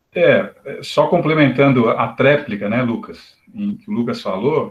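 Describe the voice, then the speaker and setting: A somewhat breathy man's voice, fairly high, with lively intonation. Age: 50s. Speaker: spiritist study group participant. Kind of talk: group discussion.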